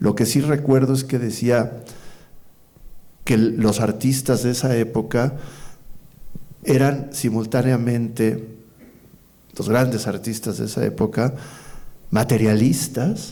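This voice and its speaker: Speaking at a very slow pace with long, frequent pauses, a man uses a dark, mellow tone touched with vocal fry. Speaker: poet and executive coordinator of a cultural institution, interviewer. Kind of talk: interview conversation, thoughtful and hesitant delivery.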